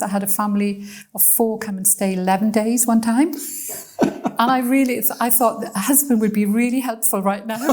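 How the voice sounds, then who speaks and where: A woman's fairly high pitch over noticeable background noise. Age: 70s. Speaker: missionary and bible college lecturer. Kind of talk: conversational interview. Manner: hesitant, with repeated words.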